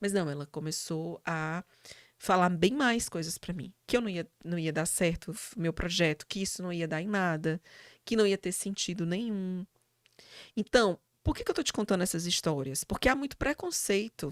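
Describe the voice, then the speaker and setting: A woman's lively, lilting voice at medium pitch and moderate pace, in a very clean recording with a silent background and a dry, close sound with no echo. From Brazil, Fortaleza (Ceará, Northeast). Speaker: psychologist and university professor. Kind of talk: interview conversation. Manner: hesitant fillers, repetitions.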